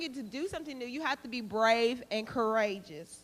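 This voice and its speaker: Delivered at a moderate pace, the speech has lively intonation in a Southern US accent. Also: woman. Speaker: public health educator. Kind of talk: motivational talk.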